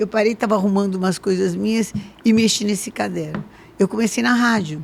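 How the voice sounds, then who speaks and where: Against noticeable background noise, a woman talks at a fairly quick pace, her medium pitch carrying ordinary pitch variation. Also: very even loudness. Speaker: bishop and talk show host. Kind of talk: casual interview chat.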